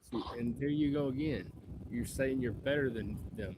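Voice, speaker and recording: At a moderate pace, a man speaks with a medium pitch, ordinary pitch variation, a dark, mellow tone and a somewhat breathy quality. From Tennessee, Nashville. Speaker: podcast host. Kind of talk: podcast interview.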